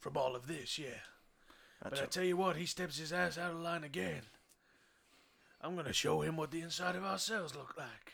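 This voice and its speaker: Using a put-on character voice, a man sounds raspy at a fairly high pitch, talking at a fairly quick pace broken by long, frequent pauses. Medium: actual play. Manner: gruff, aggressive, swaggering.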